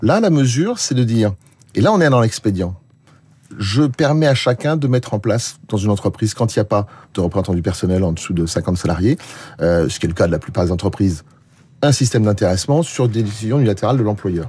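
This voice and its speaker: The voice is somewhat breathy, with a dark, mellow tone and lively intonation. It moves at a very fast pace with very even loudness. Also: man, fairly low pitch for a man. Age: 60s. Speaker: social protection policy expert. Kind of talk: radio interview.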